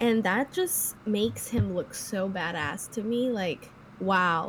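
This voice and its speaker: A woman with a medium pitch sounds somewhat breathy, her intonation lively. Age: 20s. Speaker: podcast co-host. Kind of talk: casual chat.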